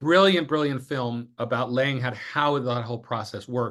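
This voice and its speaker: Loud and bright with a sharp tone, a man's fairly high-pitched voice comes through over a quiet background. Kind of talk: interview conversation.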